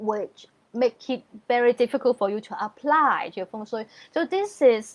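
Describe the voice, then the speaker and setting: High-pitched speech from a woman at a moderate pace, with very wide pitch swings and big swings in loudness, in a dry, close sound with no echo. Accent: non-native. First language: not English. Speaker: feng shui consultant. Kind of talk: online training sales pitch. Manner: clear and simple wording.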